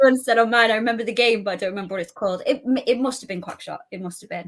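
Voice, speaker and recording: A woman's very fast speech in a northern English accent, fairly high in pitch with ordinary pitch variation and big swings in loudness. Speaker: gaming community manager and cosplayer. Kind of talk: casual chat. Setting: live stream interview.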